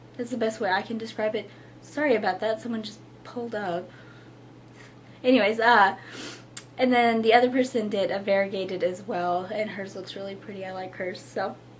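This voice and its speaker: A woman's fairly even-toned speech, with long, frequent pauses and noticeable background noise. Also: fairly high pitch for a woman. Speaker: knitting podcaster. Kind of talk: casual chat. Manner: relaxed, hesitant with fillers.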